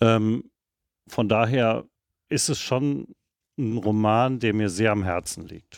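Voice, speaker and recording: On a very clean recording with a silent background, a man speaks at a very slow pace with long, frequent pauses. His medium pitch shows ordinary variation. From Rhineland, Germany (Erkrath). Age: 50s. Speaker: novelist. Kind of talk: interview. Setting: bookshop.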